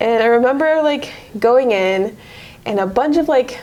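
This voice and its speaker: Speaking at a moderate pace over noticeable background noise, a woman uses a high pitch and lively intonation. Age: 20s. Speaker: car saleswoman. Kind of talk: casual interview.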